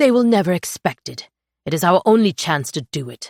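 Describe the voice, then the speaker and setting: A put-on character voice growls at a middle pitch. The delivery moves at a fairly quick pace. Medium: read story. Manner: sharp, urgent.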